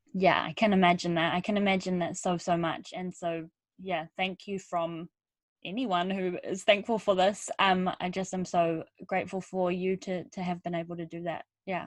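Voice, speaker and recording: At a moderate pace, a speaker with a New Zealand accent talks in a monotone, flat intonation against a quiet background. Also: woman, medium pitch for a woman. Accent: twangy New Zealand. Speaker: podcast host. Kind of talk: podcast interview.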